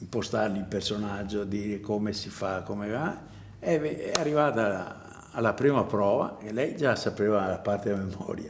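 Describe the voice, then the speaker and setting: A man with a fairly low pitch and a normal speaking voice. He talks at a moderate pace with ordinary pitch variation. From Venice, Italy. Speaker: theatre prompter. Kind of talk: interview answer.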